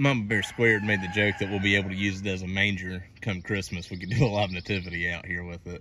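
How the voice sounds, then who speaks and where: At a very fast pace, a man talks in a very deep, low voice with flat, monotone intonation. The sound is dry with no echo, and there is light background noise. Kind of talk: casual vlog chat. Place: garden. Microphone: phone near.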